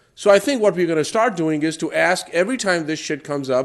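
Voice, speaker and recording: At a fairly quick pace, a man speaks in a high voice with lively intonation. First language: not English. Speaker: public commenter at police commission meeting. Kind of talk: public comment at civic meeting. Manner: animated.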